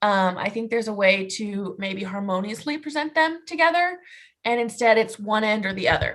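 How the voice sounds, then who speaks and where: Loud and fairly high-pitched, a woman speaks at a moderate pace. Her pitch swings very widely. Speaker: animal science student or young professional. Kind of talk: group discussion on video call.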